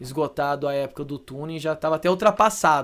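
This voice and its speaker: A man talks in a normal speaking voice at a fairly high pitch. His pace is fairly quick. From Brazil, Campinas (São Paulo state). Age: 30s. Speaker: car wrap specialist. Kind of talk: podcast interview. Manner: casual.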